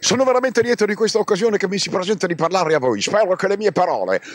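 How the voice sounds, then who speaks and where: The man's voice sits at a high pitch with ordinary pitch variation. The sound is dry and close, with no echo. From Brindisi, Italy. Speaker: actor. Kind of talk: recorded theatrical monologue.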